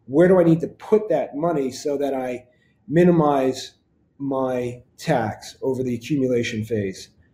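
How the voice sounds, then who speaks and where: Here a man speaks at a medium pitch, somewhat breathy, with a dark, mellow tone. He goes at a fairly slow pace with ordinary pitch variation. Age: 50s. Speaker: financial advisor. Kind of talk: podcast monologue.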